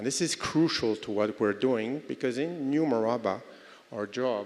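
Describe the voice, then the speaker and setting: A man speaks with a French accent at a fairly slow pace. His pitch varies in an ordinary way. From France. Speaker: real estate development executive. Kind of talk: conference panel talk. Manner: hesitant, many fillers.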